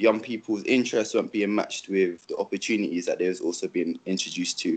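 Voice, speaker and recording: A man with a London accent. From England. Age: 20s. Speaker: youth ambassador. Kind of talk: panel discussion answer. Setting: video call. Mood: earnest, frustrated. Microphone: video call.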